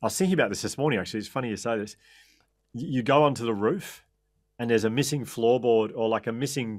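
A man talks with an Australian accent. The background is quiet. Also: ordinary pitch variation. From Australia (Melbourne). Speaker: author and resilience speaker. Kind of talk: interview storytelling. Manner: halting. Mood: animated, reflective storytelling. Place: home room. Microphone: studio mic.

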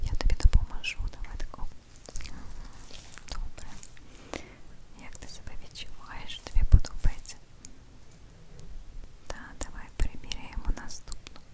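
A whispering voice with big swings in loudness and a fairly slow pace. Long, frequent pauses break it up, and background noise is noticeable. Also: woman. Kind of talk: ASMR roleplay, eye exam clinic. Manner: soft, gentle, caring.

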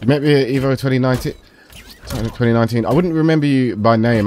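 A man with a medium pitch and ordinary pitch variation keeps a moderate pace while noticeable background noise carries on. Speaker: gaming streamer. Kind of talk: casual chat while gaming. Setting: online voice chat during game.

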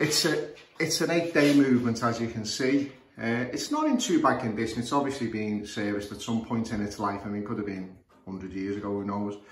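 A man with a Scouse accent at a fairly quick pace, medium in pitch with ordinary pitch variation, amid light background noise and audible room echo. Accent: Scouse (Liverpool English). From northern England, Liverpool. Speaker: clock repairer. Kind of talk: tutorial. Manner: halting, many fillers. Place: home room. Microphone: phone near.

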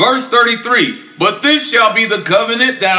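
A man speaks in a raised, projected voice at a fairly slow pace, with noticeable background noise behind him. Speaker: religious class teacher. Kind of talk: sermon. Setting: class with live audience. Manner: animated.

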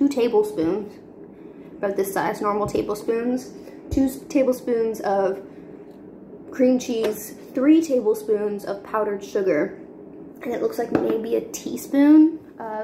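A woman speaks with long, frequent pauses over noticeable background noise. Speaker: home cooking vlogger. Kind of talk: casual cooking tutorial chat. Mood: cheerful, playful. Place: kitchen. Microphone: phone near.

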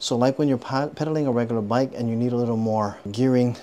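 The man's pitch shows ordinary variation as he talks. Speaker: product reviewer. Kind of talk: product review walkthrough. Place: garage. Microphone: phone near.

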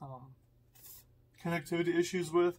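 The speaker is a man. He talks at a moderate pace. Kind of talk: tutorial. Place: home room.

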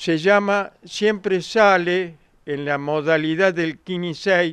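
High pitch and fairly even intonation from a man, with a dry sound without echo and a quiet background. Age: 70s. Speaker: lottery agency owner. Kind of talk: news interview. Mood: pleased, calm explaining. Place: shop. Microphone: handheld.

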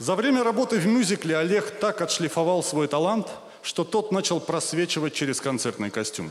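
This man talks at a moderate pace. His pitch rises and falls over a very wide range. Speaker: comedy show host. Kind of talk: comic monologue read on stage. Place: stage.

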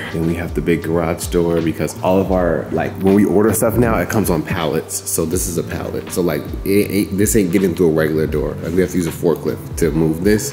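A man's very deep, low voice at a fairly quick pace, with ordinary pitch variation, hardly any pauses, and clear music in the background. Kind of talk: casual vlog chat. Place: factory. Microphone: phone near.

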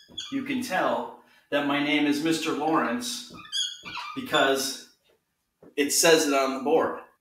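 The man's voice comes with audible room echo. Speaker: teacher. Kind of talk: casual class announcement. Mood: friendly, upbeat. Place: home room. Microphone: camera far.

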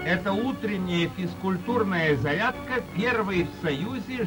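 A man talks at a very slow pace while clear music plays in the background. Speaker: newsreel announcer. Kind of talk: 1930s Soviet newsreel narration. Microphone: old recording.

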